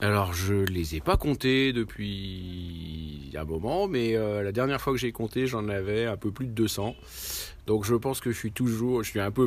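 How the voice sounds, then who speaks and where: Fairly slow delivery in an unremarkable speaking voice, its pitch variation ordinary. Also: man. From Lyon area, France. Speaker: board game club member. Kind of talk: interview. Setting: board game event.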